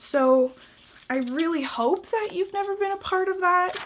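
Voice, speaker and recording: A woman's animated voice with a Canadian accent and lively intonation, at a fairly slow pace, on a very clean recording with a silent background. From Canada. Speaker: vlogger. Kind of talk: casual vlog tutorial. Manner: animated, filler-heavy.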